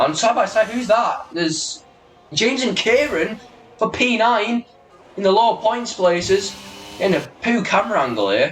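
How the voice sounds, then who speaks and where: A man with a British accent and a high pitch, at a moderate pace with long, frequent pauses, over noticeable background noise. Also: ordinary pitch variation. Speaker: sim racing league commentator. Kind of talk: live commentary. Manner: animated; high pitched when excited.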